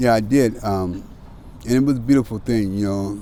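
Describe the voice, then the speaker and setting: Speaking fairly quickly with an American accent, a man has a fairly low pitch. His pitch variation is ordinary. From US Pacific Northwest (Seattle). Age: 60s. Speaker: formerly homeless man sharing life story. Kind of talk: interview.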